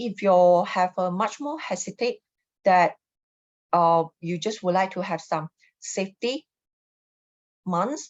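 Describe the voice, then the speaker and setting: Her pace very slow and broken by long, frequent pauses, a woman talks at a medium pitch with ordinary pitch variation. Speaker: feng shui consultant. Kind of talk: live stream talk. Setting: live online stream.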